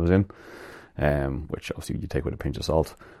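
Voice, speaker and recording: A man with a Dublin accent speaks in a dark, mellow tone with vocal fry. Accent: Irish (Dublin). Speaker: podcast host. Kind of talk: casual solo monologue. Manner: halting, many fillers.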